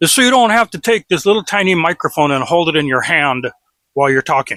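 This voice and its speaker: A man uses a raised, projected voice with a bright, sharp tone and very wide pitch swings. He speaks at a fairly quick pace in a dry, close sound with no echo. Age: 60s. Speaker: YouTuber, commentator. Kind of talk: casual monologue.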